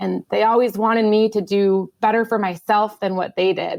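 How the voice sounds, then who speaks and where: Someone with a Midwestern accent talks at a moderate pace in a very clean recording with a silent background. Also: woman. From US Midwest, Minnesota. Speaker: air force pilot. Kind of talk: testimony.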